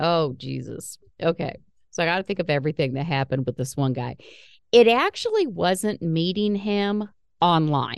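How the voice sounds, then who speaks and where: This woman has a normal speaking voice with a fairly low pitch and lively intonation. She talks at a moderate pace against a quiet background. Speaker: podcast host. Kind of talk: casual chat.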